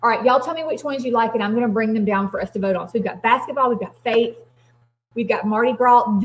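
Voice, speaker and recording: A woman with a Southern US accent speaks at a very fast pace, her fairly high voice showing ordinary pitch variation. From US South. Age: 40s. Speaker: craft business livestreamer. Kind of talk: live stream chat with viewers. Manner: animated.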